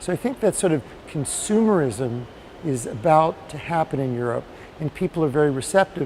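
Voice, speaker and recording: Over noticeable background noise, a man with an American accent talks fairly quickly at a fairly high pitch, his intonation lively. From United States. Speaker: patient advocate. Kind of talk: interview.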